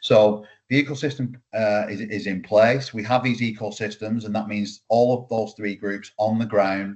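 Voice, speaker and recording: Speaking at a moderate pace with hardly any pauses, the man has a fairly low pitch, a flat monotone and big swings in loudness. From UK. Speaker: startup founder. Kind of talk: webinar presentation.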